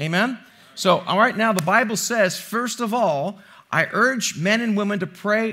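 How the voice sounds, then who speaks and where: A man speaks in a raised, projected voice. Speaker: pastor. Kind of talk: sermon. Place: church. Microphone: headset.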